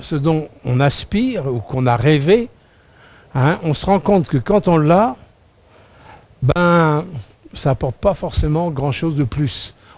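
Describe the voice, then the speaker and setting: A man's fairly high voice at a very slow pace, with lively intonation and long, frequent pauses. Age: 60s. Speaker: preacher. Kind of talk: sermon. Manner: halting.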